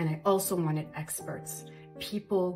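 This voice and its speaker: Clear music plays in the background. A woman with a medium-pitched voice speaks at a moderate pace. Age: 50s. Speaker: podcast host. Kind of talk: promotional monologue. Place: bathroom. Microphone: phone near.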